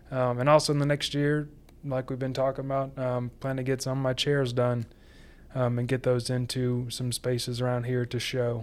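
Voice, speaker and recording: This man speaks at a moderate pace. His medium-pitched voice is monotone, with flat intonation. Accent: Southern US. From US South, Sumter, South Carolina. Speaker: furniture maker. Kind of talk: interview. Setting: studio.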